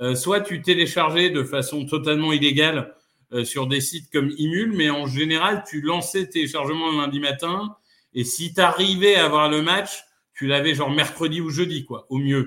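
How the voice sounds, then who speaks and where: A man with a fairly high pitch uses an ordinary speaking voice, moving at a moderate pace with ordinary pitch variation. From northern France (Amiens). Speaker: football podcaster and fan. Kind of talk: casual chat.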